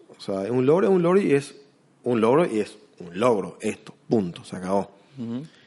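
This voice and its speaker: Here a man speaks at a moderate pace and medium pitch. His dark, mellow tone carries very wide pitch swings. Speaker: investment consultant. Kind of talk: interview. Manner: halting, many repetitions and fillers.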